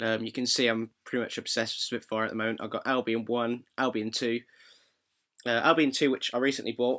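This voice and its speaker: Speaking very fast with a British accent, a man uses a medium-pitched voice with a bright, sharp tone. His intonation stays fairly even. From Britain. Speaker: composer. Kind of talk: tutorial. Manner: muffled, slurry; casual, hesitant.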